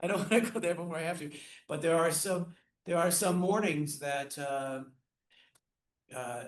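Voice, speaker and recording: A man with a high voice speaks at a moderate pace with ordinary pitch variation, taking long, frequent pauses in a room with audible echo. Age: 60s. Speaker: orchestra conductor, music educator, Parkinson's patient. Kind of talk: casual interview chat. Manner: halting, many repetitions and fillers.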